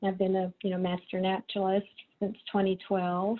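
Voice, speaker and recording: A woman talks at a moderate pace with a Texas accent. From Texas, Corpus Christi. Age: 60s. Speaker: writer and photographer. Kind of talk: presentation. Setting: video call. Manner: casual, with many fillers.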